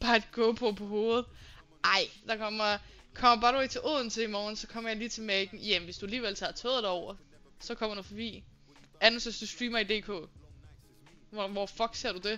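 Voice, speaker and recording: Her voice fairly high in pitch, a woman speaks at a fairly quick pace in a monotone, flat intonation, with big swings in loudness and long, frequent pauses. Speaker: live streamer. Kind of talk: casual live stream chat with viewers.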